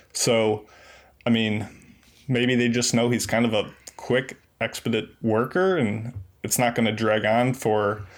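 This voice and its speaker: A man speaks in a normal speaking voice at a medium pitch, with fairly even intonation and a fairly slow pace. The recording is very clean over a silent background. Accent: American. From US Northeast. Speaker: community member and podcast guest. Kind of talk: casual chat.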